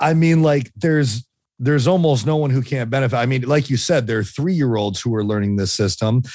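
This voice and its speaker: At a fairly quick pace, a man with medium pitch and ordinary pitch variation talks in a plain, everyday voice. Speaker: podcast host.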